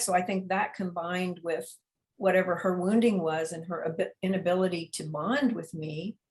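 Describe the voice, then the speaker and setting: Somewhat breathy, a woman speaks at a medium pitch and moderate pace with ordinary pitch variation. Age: 70s. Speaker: memoir author. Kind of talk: interview. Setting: video call. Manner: halting.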